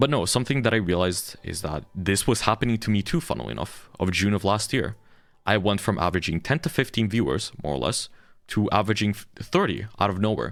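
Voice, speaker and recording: Very fast and with lively intonation, a man talks in a fairly low pitch with vocal fry. The recording is very clean, with a silent background. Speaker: VTuber streamer. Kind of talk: streamer rant to chat. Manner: animated.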